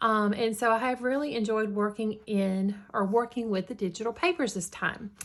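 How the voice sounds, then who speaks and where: With hardly any pauses, a woman speaks in a Southern US accent. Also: fairly high pitch for a woman, ordinary pitch variation, moderate pace. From US South, Georgia. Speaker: crafting YouTuber. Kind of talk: casual tutorial chat. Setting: home in the country.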